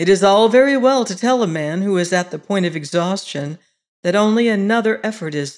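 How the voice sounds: The background stays quiet. Over it comes a natural reading voice.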